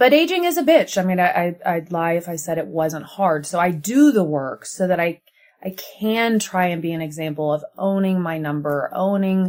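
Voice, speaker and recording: In a plain, everyday voice, a woman speaks with an American accent and a fairly low pitch. Her pace is moderate and her pitch variation ordinary. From US Midwest. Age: 40s. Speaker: TV host and journalist. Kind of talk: casual chat.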